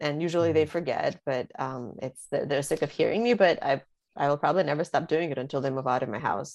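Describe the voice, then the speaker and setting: With a slight Russian accent, a woman speaks at a very fast pace in a very deep, low pitch with ordinary pitch variation. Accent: slight Russian accent over American English. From Russia (St. Petersburg), moved to US as teenager. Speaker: author. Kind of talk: interview. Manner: halting, many fillers.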